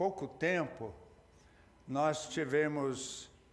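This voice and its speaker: With audible room echo, a man speaks at a fairly high pitch with fairly even intonation. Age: 80s+. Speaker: pastor. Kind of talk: sermon. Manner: halting, with repeated words.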